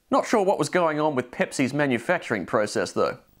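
Against a quiet background, a man speaks with a fairly high voice. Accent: Australian. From Adelaide, Australia. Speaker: show presenter. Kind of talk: comedic VHS review narration. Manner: dry, humorous. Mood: dry, wry humor. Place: home room. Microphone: lapel.

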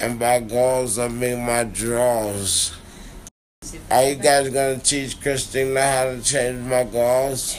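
Over light background noise, a man speaks very slowly in a flat, monotone way. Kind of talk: casual vlog chat. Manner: slurred, drowsy numb-mouthed speech. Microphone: phone near.

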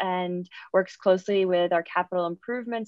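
At a moderate pace and with fairly even intonation, a woman speaks against a quiet background in a dry sound with no echo. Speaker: panelist. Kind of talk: panel self-introduction. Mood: friendly, smiling. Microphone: video call.

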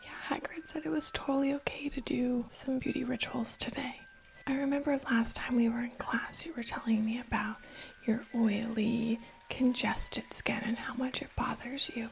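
A woman speaks at a moderate pace in a high voice with ordinary pitch variation over light background noise. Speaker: ASMR roleplay creator. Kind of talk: roleplay ASMR chat. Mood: cheerful, warm. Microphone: studio mic.

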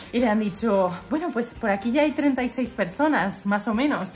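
A woman at a high pitch and moderate pace, ordinary pitch variation, light background noise. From Spain. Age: 20s. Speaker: vlogger and author; vlogger. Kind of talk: casual vlog chat. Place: home room. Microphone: phone near.

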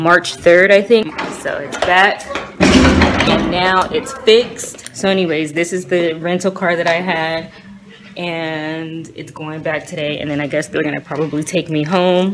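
A woman with a normal speaking voice talks at a fairly low pitch and a fairly slow pace, with ordinary pitch variation. Her loudness swings a lot, and light background noise can be heard. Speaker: vlogger. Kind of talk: casual vlog chat. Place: car. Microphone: phone near.

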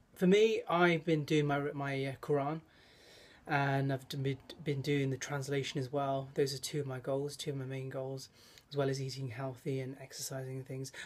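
A somewhat breathy man speaks at a moderate pace with fairly even intonation. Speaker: vlogger. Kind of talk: casual vlog chat. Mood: reflective, advice-giving. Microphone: phone near.

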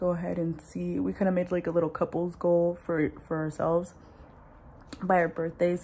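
A woman's fairly low, somewhat breathy voice with a dark, mellow tone at a fairly quick pace. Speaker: vlogger. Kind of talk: casual vlog chat. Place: kitchen. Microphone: phone near.

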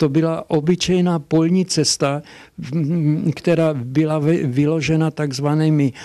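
A man's fairly high voice at a very slow pace against a quiet background. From Hošťálkovice, Silesia, Czech Republic. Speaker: dialectologist and professor. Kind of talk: interview answer. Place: office. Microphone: handheld.

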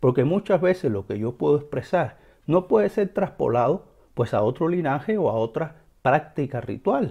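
Against a quiet background, a man with a fairly high pitch and very wide pitch swings speaks at a moderate pace in a somewhat breathy, dark, mellow tone. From Cuba. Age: 40s. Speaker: religious teacher and video host; religious teacher, video host. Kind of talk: educational monologue. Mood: earnest, emphatic. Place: home room. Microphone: lapel.

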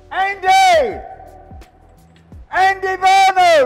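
A man with an extremely high pitch over faint music in the background. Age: 70s. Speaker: homelessness campaigner, ex-homeless reformed drug addict. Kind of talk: casual talk to camera. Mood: surprised, mildly frustrated. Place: street.

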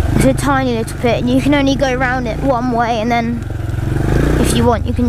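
A woman's voice in a dry sound with no echo, over loud background noise. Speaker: quad rider vlogger. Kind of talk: casual vlog chat. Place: open country. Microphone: helmet.

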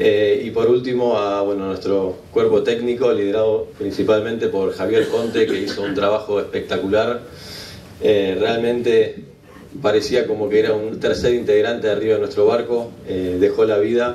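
With light background noise and audible room echo around him, the man keeps a moderate pace. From Argentina, San Isidro area. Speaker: Olympic medalist sailor. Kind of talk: thank-you speech. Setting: awards event with live audience. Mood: grateful, humble. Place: hall. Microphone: podium.

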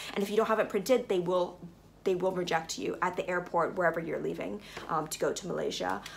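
Over light background noise, a woman speaks at a very fast pace. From Hong Kong. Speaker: travel and wellness vlogger; wellness vlogger. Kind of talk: travel tutorial to camera. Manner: casual, with frequent fillers. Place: home room. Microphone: phone near.

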